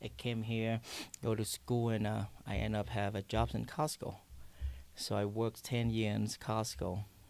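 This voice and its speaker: A man speaks with a Vietnamese accent at a fairly low pitch, his intonation fairly even. His loudness stays very even, on a very clean recording with a silent background. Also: moderate pace. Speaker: coffee shop owner. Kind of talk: podcast interview. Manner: halting.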